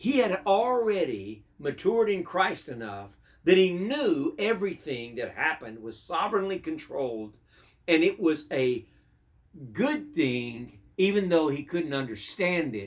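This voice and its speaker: A high-pitched male voice with very wide pitch swings and a fairly slow pace. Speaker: pastor. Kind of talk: devotional sermon.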